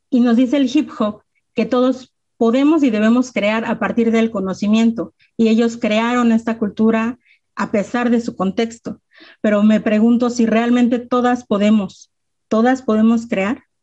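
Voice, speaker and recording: A woman speaks at a fairly slow pace in a monotone, flat delivery, her fairly high pitch carrying a dark, mellow tone against a quiet background. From Mexico, Mexico City area (Ecatepec); Mexico City, Mexico. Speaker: rapper and self-defense instructor; panelist. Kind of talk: presentation with slides. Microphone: video call.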